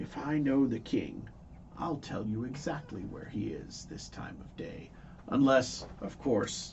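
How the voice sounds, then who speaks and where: Over clear background noise, a man puts on a character voice at a medium pitch and a fairly slow pace. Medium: actual play. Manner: wheedling, conspiratorial.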